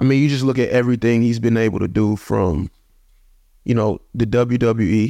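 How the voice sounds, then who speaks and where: Against a quiet background, a man with a dark, mellow tone talks at a medium pitch and a moderate pace, with ordinary pitch variation. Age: 20s. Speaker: professional football player. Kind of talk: casual interview.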